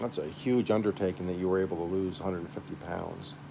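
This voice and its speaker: A man with a very deep, low voice talks at a fairly quick pace and ordinary pitch variation. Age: 50s. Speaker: gardening livestreamer. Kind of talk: casual livestream chat.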